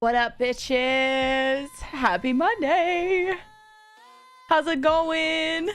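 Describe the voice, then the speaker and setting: The speech moves at a very slow pace with very wide pitch swings. Music plays in the background. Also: woman, high pitch for a woman. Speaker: streamer. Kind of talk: casual chat.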